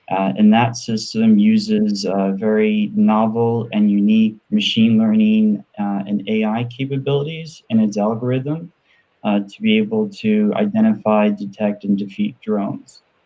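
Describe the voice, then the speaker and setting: In a New York accent, the speaker talks at a fairly slow pace with hardly any pauses. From US, New York. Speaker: entrepreneur and panelist. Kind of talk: panel discussion.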